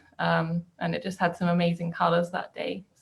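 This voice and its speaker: A somewhat breathy woman's voice in a West Country accent. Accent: southwest English. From southwest England. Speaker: painter. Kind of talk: short artist introduction.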